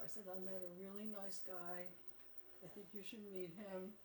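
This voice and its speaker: The speaker has an American accent and talks at a fairly slow pace. Room echo is audible, and background noise is noticeable. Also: woman. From US, working-class neighborhood. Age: 80s+. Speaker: psychoanalyst and art therapist. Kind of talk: casual chat.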